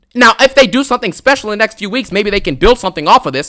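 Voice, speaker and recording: A loud, animated man with a bright, sharp tone, recorded dry and close with no echo. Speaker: wrestling commentary youtuber. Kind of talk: angry rant.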